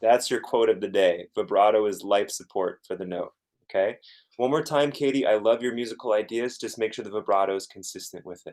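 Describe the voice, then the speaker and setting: Talking at a fairly quick pace, a man shows big swings in loudness. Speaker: guitar teacher. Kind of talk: masterclass teaching. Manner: soft-spoken; halting, repetitive.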